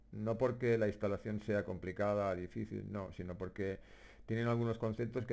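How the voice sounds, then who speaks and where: In a dark, mellow tone, a man with a fairly low pitch speaks fairly quickly with fairly even intonation on a very clean recording with a silent background. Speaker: gamer, map-making tutorial maker. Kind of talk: software tutorial narration. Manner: hesitant, many fillers.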